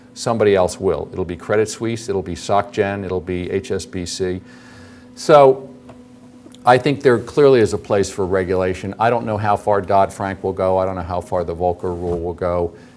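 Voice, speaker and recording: A man speaks at a fairly low pitch and a moderate pace, with ordinary pitch variation. Noticeable background noise sits behind him. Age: 50s. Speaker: investment manager. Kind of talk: lecture Q&A. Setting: auditorium with audience.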